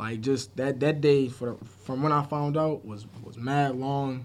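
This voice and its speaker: A man with an American accent, a plain, everyday voice, medium pitch and fairly even intonation. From Buffalo, New York. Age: 20s. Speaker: youth sports program manager. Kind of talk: casual chat.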